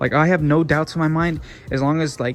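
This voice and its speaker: Intonation stays fairly even throughout. The speaker is a man. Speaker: car enthusiast YouTuber. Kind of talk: casual vlog walkthrough. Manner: casual, many filler words; occasional stutter.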